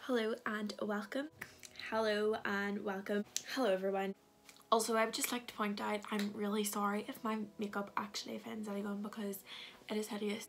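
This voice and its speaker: A woman speaks in a Scottish accent at medium pitch. Her intonation is monotone and flat, over light background noise. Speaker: beauty and fashion vlogger. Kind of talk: casual haul video talk to camera. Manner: fast. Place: home room. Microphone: phone near.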